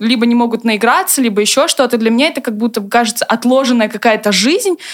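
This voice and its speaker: Pitched fairly high, a woman with an unremarkable speaking voice talks at a fairly quick pace with ordinary pitch variation. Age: 20s. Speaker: former student comedy performer, designer. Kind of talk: casual chat.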